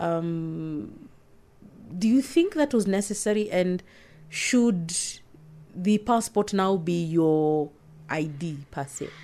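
Speech comes at a very slow pace, with long, frequent pauses. The tone is dark and mellow, the intonation lively. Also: woman, medium pitch for a woman. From Kenya. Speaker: security reporter. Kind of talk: casual chat.

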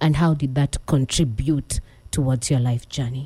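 A woman's somewhat breathy voice with a dark, mellow tone at a moderate pace. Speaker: radio host. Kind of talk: radio interview. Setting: studio.

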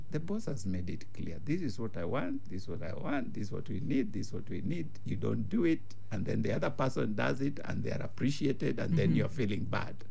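A man at a fairly quick pace with hardly any pauses, his voice in very wide pitch swings, amid audible room echo. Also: fairly low pitch for a man. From Kenya, Gashie village. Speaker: bishop and leadership teacher. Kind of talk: radio teaching talk. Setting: radio studio.

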